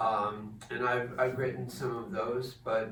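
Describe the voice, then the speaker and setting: With an American accent, a man speaks at medium pitch and a fairly slow pace, with noticeable background noise and audible room echo. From New Jersey. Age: 70s. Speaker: poet and retired English teacher. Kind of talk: informal talk with poetry reading. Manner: halting, many fillers.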